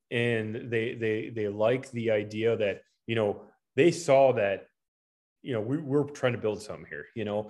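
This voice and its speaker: A man with an American accent at a medium pitch, fairly slow pace and ordinary pitch variation. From US Midwest, Preston, Iowa. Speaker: high school football coach and principal. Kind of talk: interview.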